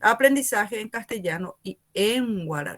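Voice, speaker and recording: Speaking with a Paraguayan accent and lively intonation, the voice sounds dry and close, with no echo. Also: woman. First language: Guarani (speaking Spanish). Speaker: university teacher. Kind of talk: lecture.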